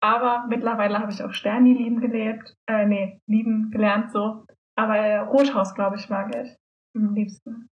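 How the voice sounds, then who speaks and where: A woman's somewhat breathy voice sits at a fairly high pitch. She keeps a moderate pace in a flat monotone. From Germany, Solingen. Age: 20s. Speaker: student, youth politics activist. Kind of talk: casual chat.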